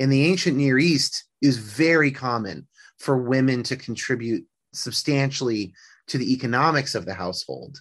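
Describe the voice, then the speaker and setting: Medium pitch, ordinary pitch variation and a moderate pace from a man with an American accent. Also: quiet background. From Northern California, US. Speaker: musician and psychology student. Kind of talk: interview conversation.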